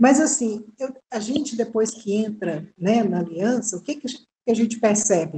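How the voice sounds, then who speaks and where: The woman talks fairly slowly in a fairly high, somewhat breathy voice whose tone is dark and mellow, and her pitch varies in an ordinary way. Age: 70s. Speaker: English teacher. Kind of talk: interview testimony. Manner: halting, many fillers.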